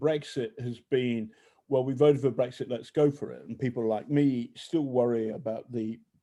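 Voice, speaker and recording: With a British accent, a man speaks at medium pitch in a dark, mellow tone and fairly even intonation over a quiet background. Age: 60s. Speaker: journalist. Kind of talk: casual chat. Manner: halting.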